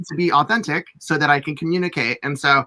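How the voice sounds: At a fast pace, a man with a fairly high pitch and a bright, sharp tone speaks with fairly even intonation.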